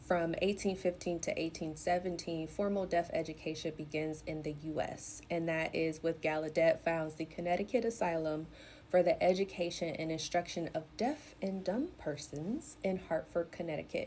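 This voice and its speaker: On a very clean recording with a silent background, a woman talks at a moderate pace with hardly any pauses. Her fairly low voice has a dark, mellow tone and fairly even intonation. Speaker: educator and content creator. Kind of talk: educational talk. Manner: clear, carefully enunciated.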